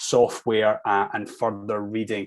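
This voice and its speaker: With a Scottish accent, a man speaks at a moderate pace and a medium pitch against a quiet background. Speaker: linguistics researcher. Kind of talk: academic presentation.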